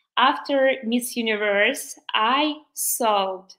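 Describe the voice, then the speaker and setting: In a Ukrainian accent, a woman speaks with a bright, sharp tone and fairly even intonation. The background is quiet. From Ukraine. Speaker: beauty pageant contestant. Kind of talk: livestream interview. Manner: halting; earnest. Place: home room.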